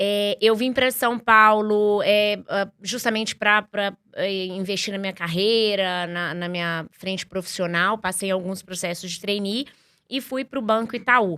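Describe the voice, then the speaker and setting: A woman with a bright, sharp tone and medium pitch speaks at a fairly slow pace with fairly even intonation. The recording is very clean, with a silent background. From Minas Gerais, Brazil. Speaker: startup executive. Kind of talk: podcast interview. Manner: many filler words and restarts.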